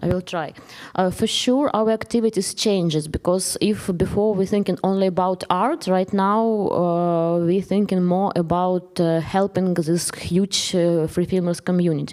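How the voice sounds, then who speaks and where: Her voice has a medium pitch and a dark, mellow tone with fairly even intonation. The woman keeps a moderate pace at very even loudness. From eastern Ukraine. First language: Ukrainian or Russian. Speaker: filmmaker. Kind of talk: Q&A discussion. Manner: halting.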